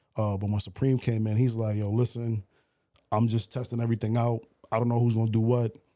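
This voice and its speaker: A man with a New York accent, very fast and flat in intonation, dark and mellow in tone, on a very clean recording with a silent background. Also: medium pitch for a man. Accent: New York (Bronx). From New York, the Bronx. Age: 40s. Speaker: radio DJ. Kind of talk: casual chat.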